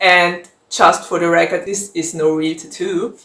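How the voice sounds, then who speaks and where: A woman talks with a German accent. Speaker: book vlogger. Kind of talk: casual Q&A vlog. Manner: conversational with fillers.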